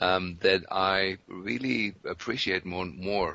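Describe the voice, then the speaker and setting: This man has a very deep, low pitch and a German accent. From Germany. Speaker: physician. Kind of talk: interview.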